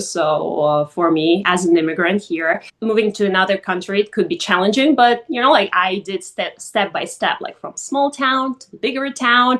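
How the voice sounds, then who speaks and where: A medium-pitched woman's voice with a Russian accent. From Russia, Vladikavkaz. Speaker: model, influencer and actress. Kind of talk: podcast interview.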